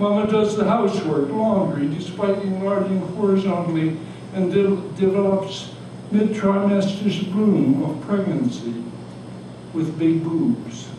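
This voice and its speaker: A man speaks at a fairly slow pace in a high voice with ordinary pitch variation. Noticeable background noise and audible room echo fill the recording. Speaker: retired doctor. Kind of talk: poetry reading. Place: cafe. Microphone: camera far.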